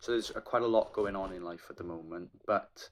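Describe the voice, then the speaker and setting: A man speaks at a moderate pace with a Welsh accent. His pitch is very deep and low. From Wales. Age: 20s. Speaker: aspiring triathlete and PhD student. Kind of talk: casual vlog talk to camera.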